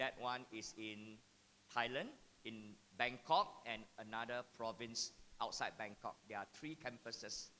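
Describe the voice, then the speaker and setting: A man speaks loudly at a fairly slow pace, his medium pitch showing ordinary variation. His tone is bright and sharp. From Singapore. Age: 50s. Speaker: mathematics educator. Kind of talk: talk to parents and teachers.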